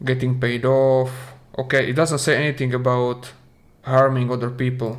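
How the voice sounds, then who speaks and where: A man with a Slovak accent talks at a moderate pace in a medium pitch with monotone, flat intonation, and audible room echo surrounds his voice. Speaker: video game streamer. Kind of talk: live stream commentary. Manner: halting, with repetitions.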